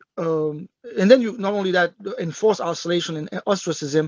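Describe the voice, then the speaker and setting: At a fairly quick pace, a man talks in a high pitch with ordinary pitch variation. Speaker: expert witness at a tribunal hearing. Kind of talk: panel testimony. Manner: fast; halting, many repetitions.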